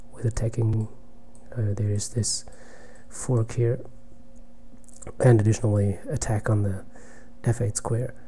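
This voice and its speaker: A somewhat breathy man's voice at medium pitch. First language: German. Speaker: chess streamer. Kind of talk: live game commentary. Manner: halting.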